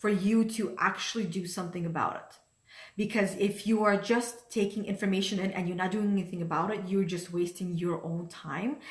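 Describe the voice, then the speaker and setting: A somewhat breathy woman speaks amid audible room echo. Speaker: life coach. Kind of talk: motivational talk. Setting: livestream from home dining room.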